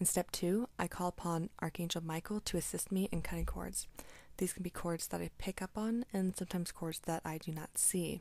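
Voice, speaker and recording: A soft-spoken woman talks at a fairly quick pace. Her pitch is fairly low and her intonation fairly even. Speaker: energy healer. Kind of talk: tutorial.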